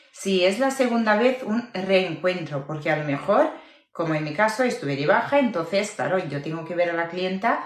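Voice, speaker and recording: Noticeable background noise and audible room echo surround a woman at a medium pitch. Her intonation is lively, and her pace is moderate. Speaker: eyelash extension teacher. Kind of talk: live tutorial.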